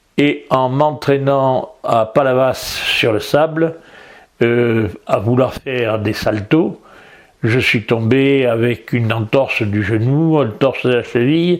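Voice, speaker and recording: Speaking very slowly, a man holds a medium pitch. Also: ordinary pitch variation. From southern France, Toulon area. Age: 80s+. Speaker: retired judo teacher. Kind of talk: interview. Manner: halting, many hesitations.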